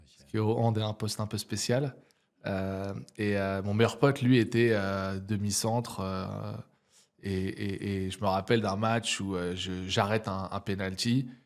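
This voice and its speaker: A man with a fairly low pitch and fairly even intonation speaks at a fairly slow pace, with big swings in loudness. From French provinces. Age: 30s. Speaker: entrepreneur and neuroscience coach. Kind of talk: podcast interview. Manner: casual, many hesitations.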